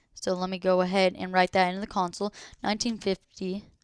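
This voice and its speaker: In a very clean recording with a silent background, a woman speaks fairly quickly at a medium pitch, the sound dry and close with no echo. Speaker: gaming tutorial youtuber. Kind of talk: tutorial. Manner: hesitant, many fillers.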